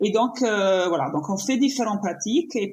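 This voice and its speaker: A woman's somewhat breathy voice with an Italian accent, at a very slow pace. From Italy. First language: Italian (speaking French). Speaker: painter and yoga teacher. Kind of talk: podcast interview. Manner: halting, many fillers and restarts.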